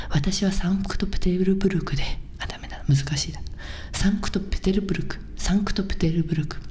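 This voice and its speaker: With light background noise, a woman talks at a moderate pace with ordinary pitch variation. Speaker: comedian and video host. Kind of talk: ASMR whispered wordplay video. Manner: whispering, soft-spoken, casual. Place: home room. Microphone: studio mic.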